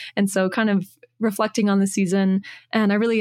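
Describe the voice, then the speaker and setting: A woman talks at a medium pitch in an unremarkable speaking voice. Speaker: podcast host. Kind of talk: casual interview. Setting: remote call.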